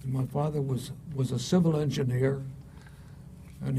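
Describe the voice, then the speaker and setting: Audible room echo surrounds a man with an American accent who speaks at a moderate pace in a monotone, flat intonation. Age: 80s+. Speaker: retired engineering society past president. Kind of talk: interview. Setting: university, on-site filmed interview.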